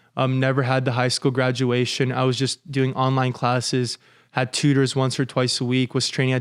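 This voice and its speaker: A man's medium-pitched voice with a Californian accent, dry and close with no echo, on a very clean recording with a silent background. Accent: California American English. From Los Angeles, US. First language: Russian. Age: 20s. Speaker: commercial real estate broker and former college athlete. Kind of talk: podcast interview.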